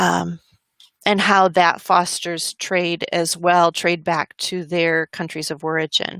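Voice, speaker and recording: A woman speaks at a very slow pace in a fairly low, bright, sharp tone with monotone, flat intonation, in a dry, close sound with no echo. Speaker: webinar presenter. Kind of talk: educational webinar presentation. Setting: online webinar.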